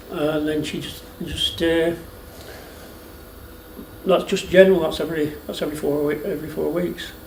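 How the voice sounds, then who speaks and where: The speech moves at a moderate pace with long, frequent pauses and monotone, flat intonation. Noticeable background noise can be heard. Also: man, fairly high pitch for a man. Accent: Lancashire. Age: 60s. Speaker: retired dairy farmer. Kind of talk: interview answer.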